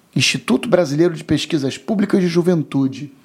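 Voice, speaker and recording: A man speaks with a high pitch and lively intonation. The recording is very clean and the background silent. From Rio de Janeiro, Brazil. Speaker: IT and telecom professional. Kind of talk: casual interview.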